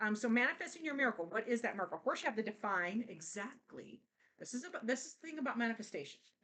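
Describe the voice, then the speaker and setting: This woman talks very fast in a bright, sharp tone, her fairly high voice swinging very widely in pitch. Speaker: tarot reader. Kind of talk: tarot reading. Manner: halting, many fillers.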